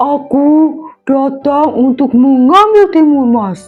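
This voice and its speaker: Using a put-on character voice, a woman speaks very slowly in a high pitch over faint background music. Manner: menacing.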